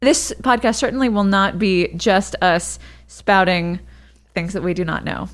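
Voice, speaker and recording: A woman speaks in a normal speaking voice at a medium pitch and a fairly slow pace, her pitch varying in an ordinary way, on a very clean recording with a silent background. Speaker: podcast host and mother. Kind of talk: casual chat.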